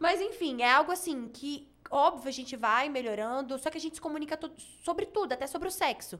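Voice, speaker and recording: A woman talks at a fairly quick pace. Her voice is high-pitched. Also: lively intonation. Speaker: TV presenter and former beauty queen. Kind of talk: casual chat. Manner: calm.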